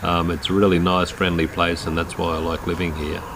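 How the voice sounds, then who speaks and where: A man speaks with a rural Australian accent at a very deep, low pitch. Noticeable background noise can be heard. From rural Queensland, Australia. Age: 60s. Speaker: quadriplegic man telling his life story. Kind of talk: personal life story narration. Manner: hesitant, many fillers.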